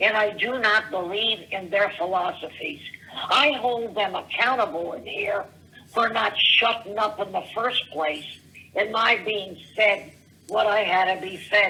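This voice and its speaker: Amid noticeable background noise, a woman with a fairly high pitch speaks at a fairly slow pace with lively intonation. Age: 70s. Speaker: voicemail caller. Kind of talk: voicemail rant. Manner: rambling, halting.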